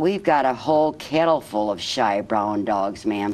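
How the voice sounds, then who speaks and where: Putting on a character voice, a man speaks in a medium range. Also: moderate pace. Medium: read story. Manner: matter-of-fact, polite.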